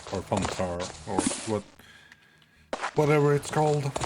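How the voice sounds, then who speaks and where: A man with a Swedish accent speaks at a fairly slow pace with lively intonation, against noticeable background noise. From Sweden. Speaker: video game streamer. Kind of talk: live gameplay commentary.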